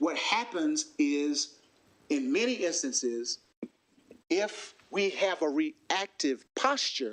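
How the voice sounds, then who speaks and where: With a Southern US accent, a man speaks at a very slow pace in a high pitch, with very wide pitch swings but very even loudness. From US South, South Carolina. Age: 40s. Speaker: workshop facilitator. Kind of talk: workshop presentation.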